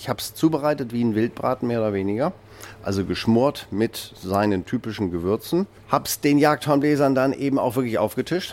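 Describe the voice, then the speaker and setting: Speaking at a fairly quick pace, a man with a normal speaking voice and medium pitch uses lively intonation. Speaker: innkeeper and chef. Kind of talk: interview and cooking demonstration.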